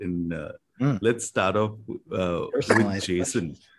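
A somewhat breathy male voice. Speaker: podcast co-host. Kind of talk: interview.

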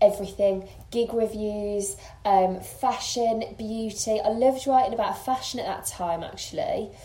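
Someone with a Birmingham accent talks at a moderate pace against noticeable background noise. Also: woman, fairly high pitch for a woman, ordinary pitch variation. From Birmingham, England. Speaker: makeup artist and blogger. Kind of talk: casual interview chat. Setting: host's home.

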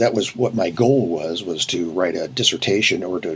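A man with a very deep, low pitch and ordinary pitch variation keeps a moderate pace while noticeable background noise continues. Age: 70s. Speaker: retired management professor and author. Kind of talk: interview.

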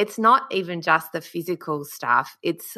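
A bright, sharp woman's voice with an Australian accent, at a fairly slow pace over a quiet background. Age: 30s. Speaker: podcast host. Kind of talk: casual interview chat.

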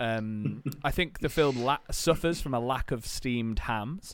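The speaker has an English accent. Their intonation is lively. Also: man. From England. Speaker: podcast co-host. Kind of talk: casual chat.

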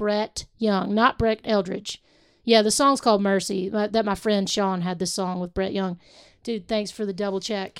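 On a very clean recording with a silent background, a woman with a plain, everyday voice speaks at a moderate pace, with a medium pitch and fairly even intonation. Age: 40s. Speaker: singer-songwriter. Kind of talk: casual chat.

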